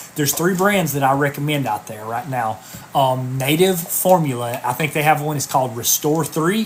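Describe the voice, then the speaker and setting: The speech goes at a moderate pace. Noticeable background noise runs underneath. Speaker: health coach. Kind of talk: live stream talk answering viewer questions. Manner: animated.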